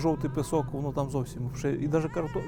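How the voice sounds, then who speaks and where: Music plays in the background as a man talks very fast in a fairly high pitch. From Polesia, northern Ukraine. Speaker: beekeeper. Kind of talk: documentary interview. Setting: outdoors.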